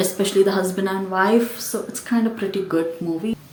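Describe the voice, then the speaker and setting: A woman with a Keralan accent at a medium pitch and fairly even intonation, with noticeable background noise and audible room echo. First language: Malayalam. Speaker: book and movie YouTuber. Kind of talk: casual movie recommendation vlog.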